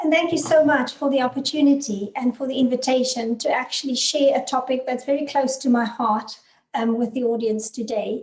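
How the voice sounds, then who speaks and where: Fairly quick delivery from a woman with a high-pitched voice. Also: ordinary pitch variation, hardly any pauses. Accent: South African. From South Africa. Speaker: business consultant and author. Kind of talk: webinar presentation.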